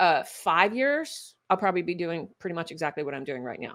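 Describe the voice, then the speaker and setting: Her pitch is fairly low for a woman, and it moves in very wide swings. She speaks at a moderate pace. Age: 60s. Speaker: functional medicine doctor. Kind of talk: interview conversation.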